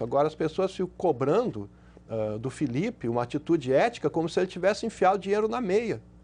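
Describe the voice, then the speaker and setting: This man's voice is fairly high and his pitch swings very widely. He talks fairly quickly. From Brazil. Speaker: sports journalist. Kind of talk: TV panel discussion. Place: studio. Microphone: lapel.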